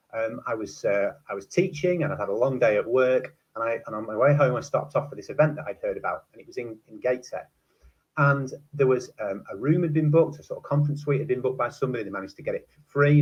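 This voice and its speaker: In a northern English accent, a man with a fairly high, somewhat breathy voice speaks at a very fast pace with ordinary pitch variation and big swings in loudness. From northwest England, Preston. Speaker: teacher and university lecturer. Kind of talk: conference talk. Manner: hesitant, many fillers.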